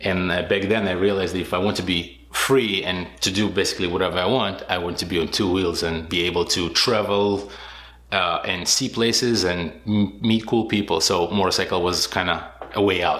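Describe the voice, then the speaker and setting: With audible room echo, a man with a very deep, low voice speaks at a moderate pace and with fairly even intonation. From Israel. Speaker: motorcycle rally racer. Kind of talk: interview. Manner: hesitant, many fillers.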